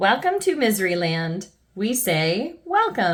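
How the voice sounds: A natural reading voice carries this recording.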